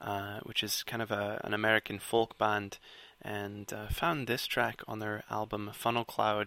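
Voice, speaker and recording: With a Scottish accent, a man talks in a bright, sharp tone and monotone, flat intonation. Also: fairly slow pace. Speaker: podcast host. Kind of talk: music show presenting. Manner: casual, filler-heavy.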